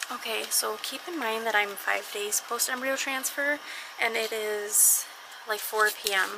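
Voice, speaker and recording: Over noticeable background noise and audible room echo, a woman speaks fairly slowly at a fairly high pitch with ordinary pitch variation. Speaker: vlogger, surrogate. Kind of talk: personal vlog, casual talk to camera. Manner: casual, chatty.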